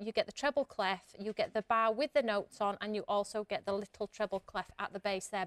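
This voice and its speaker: Over a quiet background with dry sound and no echo, a woman talks at a fairly quick pace with ordinary pitch variation. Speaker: guest. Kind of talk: TV shopping product demonstration. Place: studio.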